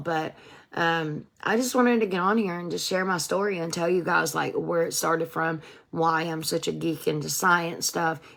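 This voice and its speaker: In an ordinary speaking voice, a woman talks at a moderate pace with fairly low pitch and ordinary pitch variation. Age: 40s. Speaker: wellness product seller and recovery vlogger. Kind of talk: casual livestream talk. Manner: casual, conversational with many fillers.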